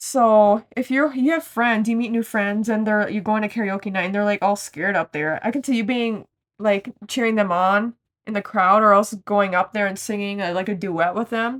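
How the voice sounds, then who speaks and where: Her voice sits at a medium pitch with ordinary pitch variation as this woman speaks at a moderate pace. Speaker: tarot card reader. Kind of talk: pick-a-card tarot reading. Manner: loud; casual, rambling with false starts.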